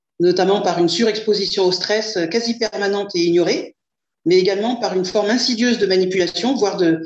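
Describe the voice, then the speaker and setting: This woman's delivery runs fairly quick. The rise and fall of her pitch is ordinary. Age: 50s. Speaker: client giving a testimonial. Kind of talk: testimony. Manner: hesitant, many fillers.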